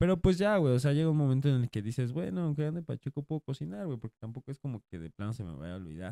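A man speaks very fast in a dark, mellow tone, his pitch swinging very widely and his loudness rising and falling sharply. The sound is dry and close, with no echo. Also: medium pitch for a man. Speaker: podcast co-host. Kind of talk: casual chat.

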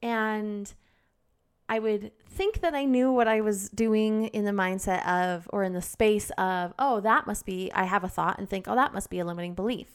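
On a very clean recording with a silent background, a woman speaks in an unremarkable speaking voice at a medium pitch and a moderate pace, with ordinary pitch variation. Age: 30s. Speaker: podcast host. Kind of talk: solo self-help talk. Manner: candid, occasionally emotional.

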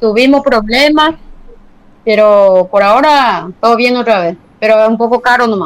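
An unremarkable speaking voice from a woman, fairly high in pitch, at a moderate pace. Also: ordinary pitch variation. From Paraguay, Tobatí (Cordillera). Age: 50s. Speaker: potter and sculptor. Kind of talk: interview.

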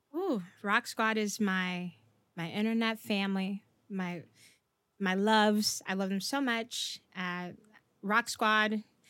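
A woman with an American accent speaks loudly in a bright, sharp tone. Her delivery is very slow with long, frequent pauses, on a very clean recording with a silent background. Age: 20s. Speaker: streamer and content creator. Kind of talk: casual interview chat. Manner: animated, loud, high energy.

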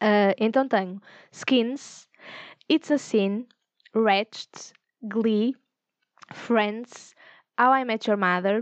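Speaking at a very slow pace, a woman uses a fairly high pitch with ordinary pitch variation, recorded over a quiet background in a dry, close sound with no echo. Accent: European Portuguese. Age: 20s. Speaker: podcast host. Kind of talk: casual solo monologue.

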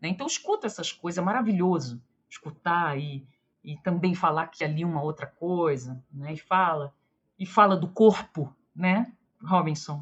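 Somewhat breathy and fairly low in pitch, a woman speaks at a moderate pace with ordinary pitch variation and big swings in loudness. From Rio de Janeiro, Brazil. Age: 40s. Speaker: history professor. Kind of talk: interview.

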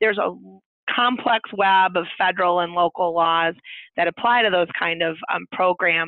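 A woman with an American accent has an unremarkable speaking voice, fairly low in pitch with ordinary pitch variation. She talks at a moderate pace with very even loudness. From Indiana. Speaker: lawyer. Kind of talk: interview.

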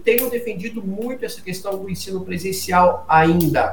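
A man's high-pitched voice with audible room echo. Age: 50s. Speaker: executive education CEO. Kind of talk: interview.

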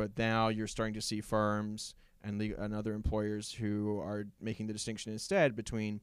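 An ordinary speaking voice: a man at medium pitch with an American accent, speaking at a fairly quick pace. The recording is very clean, with a silent background. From Virginia, US South. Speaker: lawyer, podcast guest. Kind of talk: casual chat.

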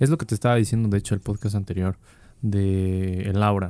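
A man with a Mexican accent speaks at a moderate pace in a dark, mellow tone, his fairly low pitch held in fairly even intonation. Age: 20s. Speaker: student podcast co-host. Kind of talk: casual chat.

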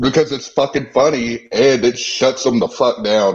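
A man speaks in an ordinary speaking voice at medium pitch and a moderate pace. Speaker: online political commentator. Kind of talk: casual chat. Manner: brash.

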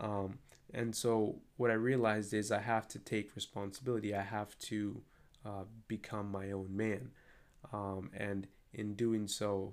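At a fairly slow pace, a man with fairly low pitch talks in a monotone, flat way. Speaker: solo podcaster. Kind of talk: solo monologue. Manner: halting, many fillers.

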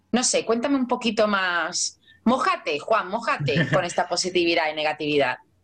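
A woman's medium-pitched voice in a strong Andalusian accent, with very wide pitch swings and very even loudness. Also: moderate pace. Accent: strong Cádiz Andalusian. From Cádiz, southern Spain. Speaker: life coach. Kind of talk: casual chat.

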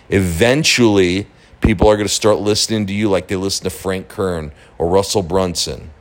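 A man with an unremarkable speaking voice, a fairly low pitch, ordinary pitch variation and a moderate pace. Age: 40s. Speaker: online marketing podcaster. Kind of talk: casual monologue. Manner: casual, with fillers and repetitions.

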